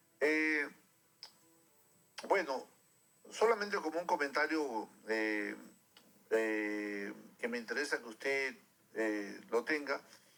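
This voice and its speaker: A man with a medium pitch talks at a very slow pace with lively intonation and long, frequent pauses, with music in the background. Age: 60s. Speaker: radio host and physician. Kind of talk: radio interview. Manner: halting, many fillers.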